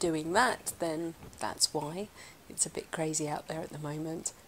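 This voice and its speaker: A woman's fairly low voice against light background noise. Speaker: art channel host. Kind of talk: casual vlog chat. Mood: cheerful, playful. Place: home room.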